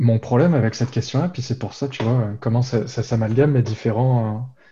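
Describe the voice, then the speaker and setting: A man's medium-pitched voice, dark, mellow and somewhat breathy, moves at a moderate pace with fairly even intonation. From Réunion. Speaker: university professor. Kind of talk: casual interview.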